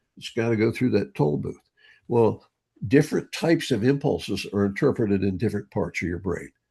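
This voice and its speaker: Against a quiet background, a dark, mellow, somewhat breathy voice moves at a fairly quick pace. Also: man, fairly low pitch for a man, lively intonation. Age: 80s+. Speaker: brain training author and speaker. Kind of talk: interview conversation. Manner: animated.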